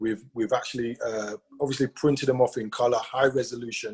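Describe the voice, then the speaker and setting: The voice is somewhat breathy, with fairly even intonation. The pace is fairly quick. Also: man. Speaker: sales team leader. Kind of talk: motivational talk. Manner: fast.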